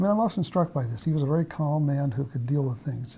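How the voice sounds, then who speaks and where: Somewhat breathy and dark, mellow in tone, a man with an American accent speaks at a fairly high pitch and a fairly quick pace. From US Pacific Northwest (Idaho, Washington). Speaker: mathematician. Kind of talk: interview, life story. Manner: halting, many fillers.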